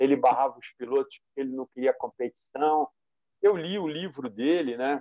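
At a moderate pace, a man with a fairly high pitch talks with ordinary pitch variation and big swings in loudness. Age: 60s. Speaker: sim racer, team manager, youtuber. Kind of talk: casual interview. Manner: hesitant, repetitive fillers.

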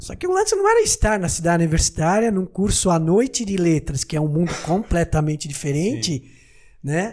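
A man's high-pitched voice. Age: 50s. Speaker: cardiologist, medical society president. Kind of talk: podcast interview.

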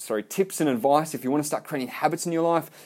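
A fairly high-pitched man with an Australian accent and ordinary pitch variation, on a very clean recording with a silent background. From Melbourne, Australia. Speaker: podcaster, salesman. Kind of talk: solo podcast monologue. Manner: casual, hesitant with fillers.

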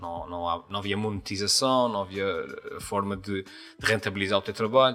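A man with a strong Azorean accent at a fairly quick pace, with noticeable background noise. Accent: strong São Miguel Azorean. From Azores, São Miguel island. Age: 40s. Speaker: YouTuber and comedian. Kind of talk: casual interview chat. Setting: recorded in a shop.

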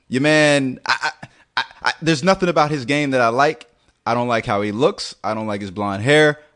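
A man with a plain, everyday voice, a fairly high pitch, lively intonation and a moderate pace. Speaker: podcast co-host. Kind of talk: angry comedic rant, scathing mock-outrage about a player's looks. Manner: loud, fired-up, exaggerated and sarcastic.

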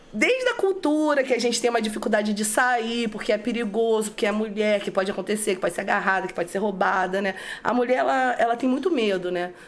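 Over noticeable background noise, a woman talks at a very fast pace with hardly any pauses. Her pitch is fairly high, with ordinary variation. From Brazil, São Gonçalo (Rio de Janeiro state). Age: 30s. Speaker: graffiti artist. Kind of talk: casual interview.

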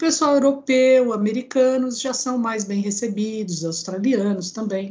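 A woman with a somewhat breathy, fairly high voice and ordinary pitch variation speaks at a fairly slow pace, with hardly any pauses. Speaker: engineer and professor. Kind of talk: interview.

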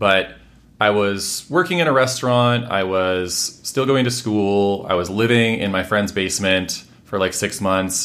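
An ordinary speaking voice from a man with an American accent, fairly low in pitch with ordinary variation, at a fairly slow pace. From Washington State, US. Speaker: housing policy expert and author. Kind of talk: interview conversation.

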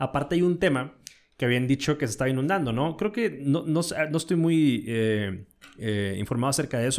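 This man speaks at a very fast pace with a Mexican accent. His pitch is fairly high, with ordinary pitch variation. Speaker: podcast host. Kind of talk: casual chat.

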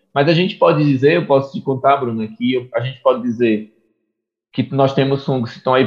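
A man at medium pitch, with ordinary pitch variation and a fairly quick pace. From Brazil, interior of Pernambuco (Águas Belas). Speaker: mycology researcher and professor. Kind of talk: interview.

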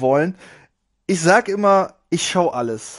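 The setting is quiet. Here a man talks very slowly. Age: 30s. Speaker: podcast host, gaming youtuber. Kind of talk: casual monologue.

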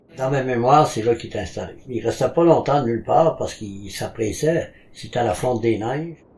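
A man talks at a fairly quick pace, somewhat breathy. His voice sits at medium pitch with ordinary pitch variation. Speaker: village elder. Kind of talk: reminiscence interview.

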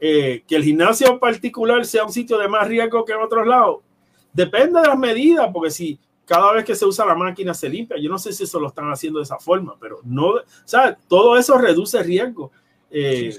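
In a Puerto Rican accent, a man speaks at a fairly quick pace with a high pitch, very wide pitch swings and big swings in loudness. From Puerto Rico, Ponce. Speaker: nutrition professor. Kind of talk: interview.

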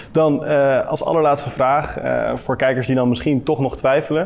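At a moderate pace, a man talks while noticeable background noise is present. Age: 20s. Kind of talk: interview. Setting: at a table with guest.

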